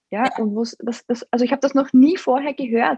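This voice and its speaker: A woman speaks with a high pitch and a dark, mellow tone. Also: dry, close sound with no echo. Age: 30s. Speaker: guest sharing fertility experience. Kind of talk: casual chat.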